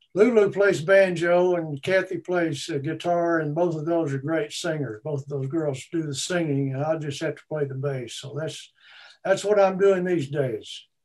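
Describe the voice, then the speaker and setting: A man speaks with a Texan accent. His pitch is fairly high. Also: ordinary pitch variation, moderate pace. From Texas, Austin. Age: 70s. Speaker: retired musician. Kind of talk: interview.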